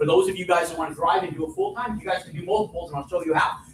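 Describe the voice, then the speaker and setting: Loud and animated, a man talks very fast at a high pitch. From New Mexico. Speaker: real estate developer and teacher. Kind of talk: live seminar talk. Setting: stage with audience.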